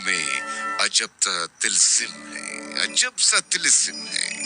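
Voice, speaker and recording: A man's voice, dry and close with no echo, with music in the background. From Pakistan. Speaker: radio presenter. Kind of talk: poetry reading.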